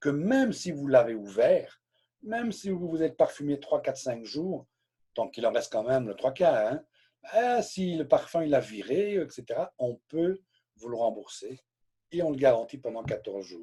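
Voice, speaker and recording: A man's fairly slow speech with big swings in loudness, on a very clean recording with a silent background. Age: 60s. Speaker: direct sales trainer. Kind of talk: live training session. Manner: hesitant, repeats words.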